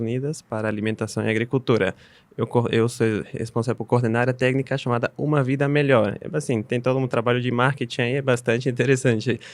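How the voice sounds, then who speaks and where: Speaking very fast in a Bolivian accent, a man keeps a medium pitch and fairly even intonation. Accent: foreign accent in Portuguese (Bolivian). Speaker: UN agency technical coordinator. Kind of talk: podcast interview. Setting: studio.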